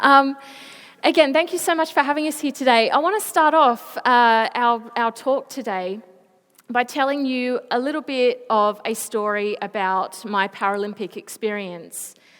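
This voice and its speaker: Speaking in an Australian accent at a moderate pace, a woman uses a high pitch, an animated tone and lively intonation. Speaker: Paralympic swimmer, motivational speaker. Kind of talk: school presentation. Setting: school assembly stage.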